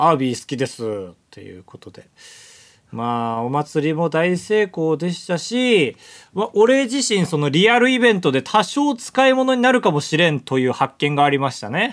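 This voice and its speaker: A high-pitched man's voice with very wide pitch swings and big swings in loudness. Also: moderate pace. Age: 20s. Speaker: podcast co-host, comedian. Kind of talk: casual chat.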